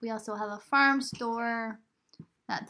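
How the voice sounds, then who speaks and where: Soft-spoken and fairly high in pitch, a woman speaks with a bright, sharp tone and fairly even intonation. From New York. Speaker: farmer and podcast host. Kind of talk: casual chat. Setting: home recording by laptop.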